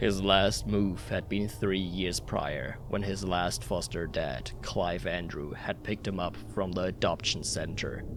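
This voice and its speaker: Over loud background noise, a man does a put-on character voice at a very deep, low pitch, speaking at a fairly slow pace with hardly any pauses. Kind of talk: horror narration. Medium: read story. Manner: measured, ominous.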